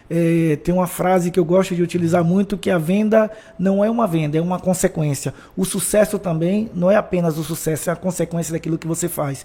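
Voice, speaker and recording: Over noticeable background noise, a man speaks at a fairly quick pace. His pitch is high and his intonation fairly even. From Brazil, Bahia (Feira de Santana). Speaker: motivational speaker, former footballer. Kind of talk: podcast interview.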